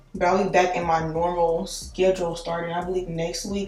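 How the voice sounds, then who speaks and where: A woman with a fairly low voice speaks at a fairly quick pace with fairly even intonation. There is audible room echo and music in the background. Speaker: beauty vlogger. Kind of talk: casual vlog talk. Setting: home bathroom. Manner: hesitant, many fillers.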